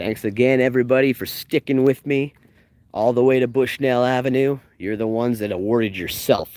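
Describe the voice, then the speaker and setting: At a moderate pace, a man with a Canadian accent speaks at medium pitch with ordinary pitch variation and big swings in loudness, in a dry, close sound with no echo. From Canada. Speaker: live-streaming travel vlogger and tour guide. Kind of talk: live-streamed walking tour. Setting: outdoors walking along a street. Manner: animated.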